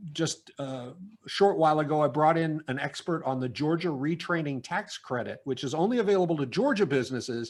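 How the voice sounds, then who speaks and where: On a very clean recording with a silent background, a man talks at a moderate pace with lively intonation and a fairly high pitch. He has a plain, everyday voice. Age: 60s. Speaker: business consultant. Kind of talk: interview. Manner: casual, with many fillers.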